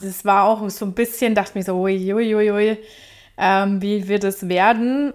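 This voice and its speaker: Recorded very cleanly against a silent background, the voice moves at a fairly slow pace with fairly even intonation. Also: woman. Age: 30s. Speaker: IT trainee in retraining. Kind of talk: casual chat.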